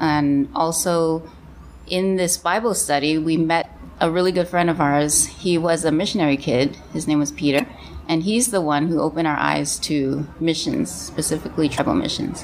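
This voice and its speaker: Over noticeable background noise, a woman with an American accent speaks in a very deep, low voice with very even loudness and ordinary pitch variation. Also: moderate pace. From mixed: Canada, California, Taiwan, Hong Kong. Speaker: missionary. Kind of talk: casual chat. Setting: church office.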